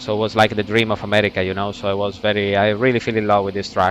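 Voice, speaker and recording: With an Italian accent, a man speaks at a fairly low pitch over noticeable background noise. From Italy. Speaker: racing driver and driving coach. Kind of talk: sim racing lap guide commentary. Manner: casual, enthusiastic.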